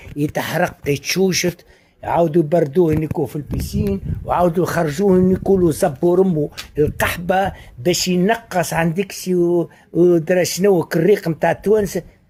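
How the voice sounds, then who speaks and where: Talking at a moderate pace with a Tunisian accent, a man with a high pitch and a dark, mellow tone keeps his intonation fairly even. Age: 60s. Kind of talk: casual monologue.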